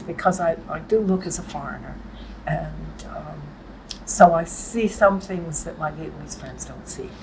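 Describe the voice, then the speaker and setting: Big swings in loudness mark this fairly slow delivery, heard with audible room echo and noticeable background noise. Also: woman. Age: 80s+. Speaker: writer and translator. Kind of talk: interview. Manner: halting.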